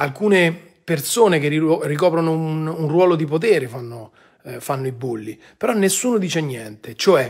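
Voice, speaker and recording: A man's fairly high voice at a moderate pace, lively in intonation and with big swings in loudness, against a quiet background. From Rome, Italy; Italy. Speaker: online commentator. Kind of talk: live-stream monologue. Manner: animated. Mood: indignant, earnest. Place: home room. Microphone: phone near.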